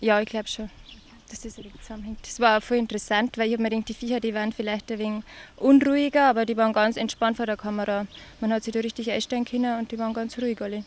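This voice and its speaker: A woman with a fairly high pitch talks at a very fast pace in a monotone, flat intonation, her loudness swinging widely. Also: dry sound with no echo. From Upper Palatinate, Bavaria, Germany. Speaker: nurse and calendar model from a farming family. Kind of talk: interview answer. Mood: relaxed, slightly shy. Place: farm machine. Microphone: handheld.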